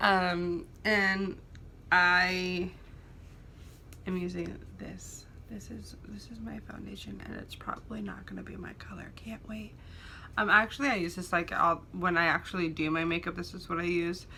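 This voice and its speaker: Mumbling at a moderate pace, a woman's loudness swings widely amid audible room echo. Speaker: beauty vlogger. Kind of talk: casual get-ready-with-me chat.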